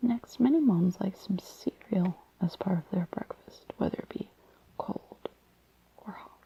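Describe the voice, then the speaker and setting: A woman whispers in a soft-spoken way at a fairly slow pace. The sound is dry and close with no echo. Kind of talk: casual chatty commentary while reading aloud. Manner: soft-spoken, whispered.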